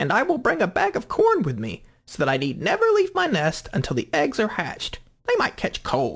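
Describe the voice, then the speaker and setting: A man puts on a character voice. He talks with hardly any pauses. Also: moderate pace. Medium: read story.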